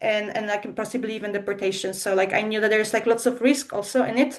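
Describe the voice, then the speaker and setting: A woman's fairly even intonation in a Polish accent. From Poland. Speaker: language school co-founder. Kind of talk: webinar presentation. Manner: hesitant, many fillers.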